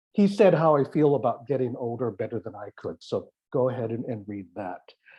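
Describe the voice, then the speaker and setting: This man's medium-pitched voice is somewhat breathy, with lively intonation and a fairly quick pace. His loudness swings widely. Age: 60s. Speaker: artist. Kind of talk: artist talk. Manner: halting.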